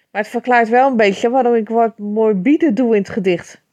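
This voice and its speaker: A normal speaking voice from a woman, at a moderate pace with ordinary pitch variation, over a quiet background. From Netherlands, Rotterdam area. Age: 50s. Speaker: poet. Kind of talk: casual talk.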